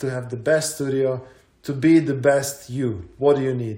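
Audible room echo surrounds a man whose fairly high voice sounds somewhat breathy. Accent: Croatian. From Croatia, Zagreb. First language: Croatian. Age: 30s. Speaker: mountain bike athlete and content creator. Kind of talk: casual chat.

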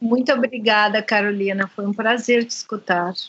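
With an unremarkable speaking voice, a woman talks at a fairly high pitch and with fairly even intonation. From Brazil. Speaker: podcast host, psychoanalyst. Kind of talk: interview.

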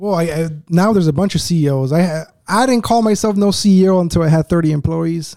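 Speaking at a very fast pace with an American accent, this voice has a dark, mellow tone, very even loudness and ordinary pitch variation. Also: man, high pitch for a man. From Uruguay, then US (New Jersey, Atlanta) from age ten. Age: 20s. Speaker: business owner, entrepreneur. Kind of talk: casual interview chat.

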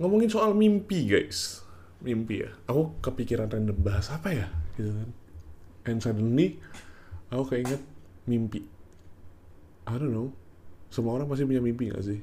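Somewhat breathy and at medium pitch, a man speaks at a moderate pace with lively intonation and long, frequent pauses, with audible room echo. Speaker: podcaster. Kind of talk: casual monologue.

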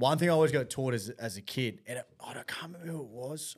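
Speaking with an Australian accent, a man talks at a very fast pace. His pitch sits at a medium level. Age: 30s. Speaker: podcast host, amateur rugby league player. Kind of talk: casual chat.

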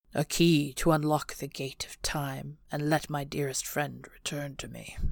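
A woman uses a put-on character voice pitched very deep and low, with big swings in loudness. The recording is very clean and the background silent. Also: moderate pace. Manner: growling, cold, then sad.

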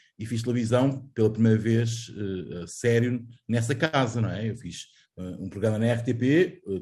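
At a fairly slow pace, a man speaks at medium pitch with a dark, mellow tone that is somewhat breathy. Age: 40s. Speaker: journalist. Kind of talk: casual chat.

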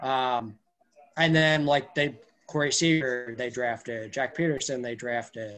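A man with a normal speaking voice talks at a fairly slow pace, medium pitch and fairly even intonation. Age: 20s. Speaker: sports blogger. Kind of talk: casual chat.

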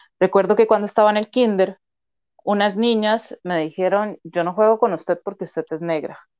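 A woman speaks at a moderate pace in an unremarkable speaking voice, her pitch in the middle range and her intonation fairly even. The sound is dry and close with no echo, over a quiet background. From Costa Rica, Turrialba (Cartago). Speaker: psychologist and sociologist. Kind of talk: interview conversation.

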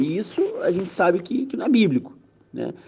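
The man's voice has a dark, mellow tone. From Rio de Janeiro, Brazil. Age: 30s. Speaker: podcast host, church youth minister. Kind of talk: casual religious discussion.

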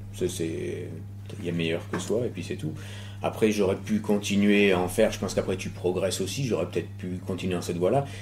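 A man with fairly low pitch and fairly even intonation at a fairly quick pace, over noticeable background noise. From France, Bordeaux. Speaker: BMX rider and stunt performer. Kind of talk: casual interview. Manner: halting.

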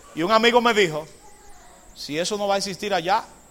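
There is noticeable background noise as a man speaks at a fairly quick pace. His pitch is high, with ordinary variation. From Dominican Republic, Cambita (San Cristóbal). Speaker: Adventist pastor / Bible teacher. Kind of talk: sermon / Bible study lecture.

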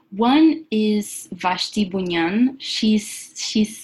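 Somewhat breathy, a woman of medium pitch speaks with ordinary pitch variation. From Venezuela. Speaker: magazine editor. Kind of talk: casual chat.

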